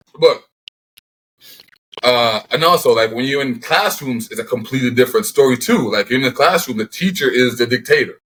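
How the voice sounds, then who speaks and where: With a Jamaican Canadian accent, a man talks at a fairly quick pace, his medium-pitched voice carrying lively intonation. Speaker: professional football player. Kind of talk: casual interview chat.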